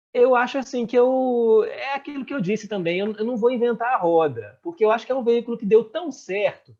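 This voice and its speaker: Here a man talks in an extremely high pitch with ordinary pitch variation. He keeps a fairly quick pace with hardly any pauses. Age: young. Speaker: radio host and journalist. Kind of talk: interview conversation. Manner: fast-talking.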